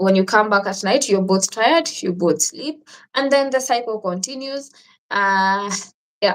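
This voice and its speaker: A woman with a Kenyan accent and a medium-pitched voice speaks at a fairly slow pace with ordinary pitch variation. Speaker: travel vlogger. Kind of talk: live stream chat reading viewer questions. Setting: live stream.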